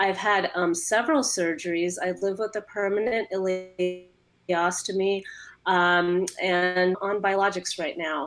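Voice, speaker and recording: Music plays behind a woman speaking at a medium pitch. Her pitch varies in an ordinary way. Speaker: patient advocate, moderator. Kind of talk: panel discussion.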